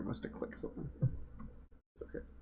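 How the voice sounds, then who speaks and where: A man mumbles at a fairly quick pace. His voice is soft-spoken. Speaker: game developer and livestreamer. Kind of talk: live stream drawing commentary. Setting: live stream. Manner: soft-spoken, mumbling; casual, thinking aloud.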